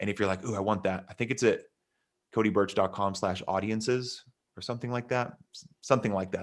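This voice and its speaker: A man with an American accent, energetic in tone, fairly low in pitch, at a very fast pace. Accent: Texas accent, comes out on some words. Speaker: online marketing coach. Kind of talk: interview on a live stream, teaching. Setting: live stream video call. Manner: fast, energetic, with fillers.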